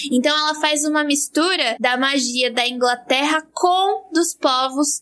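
Her pitch varies in an ordinary way as this woman talks at a moderate pace. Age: 20s. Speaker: physicist and science communicator. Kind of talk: casual chat.

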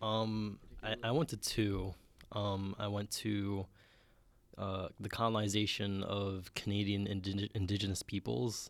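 With a New York accent, a man at a fairly low pitch talks at a fairly slow pace and with fairly even intonation, in a very clean recording with a silent background. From Bronx, New York. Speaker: student co-host. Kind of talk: casual chat.

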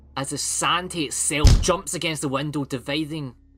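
A man at a moderate pace, fairly high in pitch, with a Scottish accent and music in the background. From Scotland. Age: 20s. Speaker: podcast host. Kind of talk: casual chat; scripted narration. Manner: animated.

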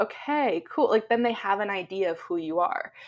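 In a Canadian accent, a woman with a normal speaking voice talks at a moderate pace and fairly high pitch with lively intonation, in a very clean recording with a silent background. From Canada. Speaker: SEO blogger. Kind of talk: interview.

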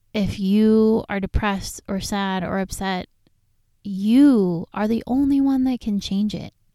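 Fairly slow speech from a woman with an American accent, a dark, mellow tone and a dry, close sound with no echo. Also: medium pitch for a woman, ordinary pitch variation. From Southern California. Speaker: podcast host. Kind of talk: personal storytelling monologue.

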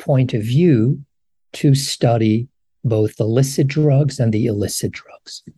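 A man talks with a dark, mellow tone that is somewhat breathy. His pitch varies in an ordinary way. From Morocco. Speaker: professor. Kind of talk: interview. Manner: halting, many fillers.

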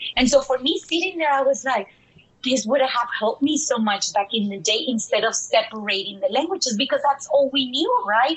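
Over noticeable background noise, a woman talks at a fairly quick pace in a high voice with lively intonation. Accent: Mexican. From Dallas, Texas, partly raised in Mexico. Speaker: bilingual education consultant. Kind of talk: interview. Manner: animated.

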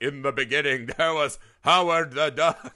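In a booming, put-on character voice, a man with a fairly high pitch speaks at a moderate pace. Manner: grandiose, all-powerful.

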